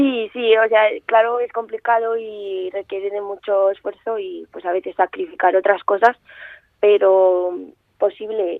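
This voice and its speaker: In an ordinary speaking voice, a woman talks at a fairly slow pace with fairly even intonation. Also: medium pitch for a woman, big swings in loudness. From Aragon, Spain (Zaragoza). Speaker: karate athlete. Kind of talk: radio interview.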